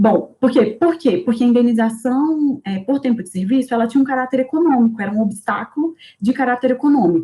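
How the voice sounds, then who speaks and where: A woman speaks at a high pitch and a fairly quick pace, with lively intonation. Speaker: teaching assistant. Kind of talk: lecture. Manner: fast; halting.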